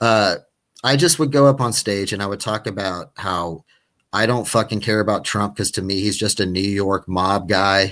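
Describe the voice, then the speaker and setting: Recorded very cleanly against a silent background, a man with an American accent talks at a moderate pace, his pitch fairly low and its variation ordinary. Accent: Texan, usually held back. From West Texas. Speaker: stand-up comedian. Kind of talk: casual chat. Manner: animated; halting.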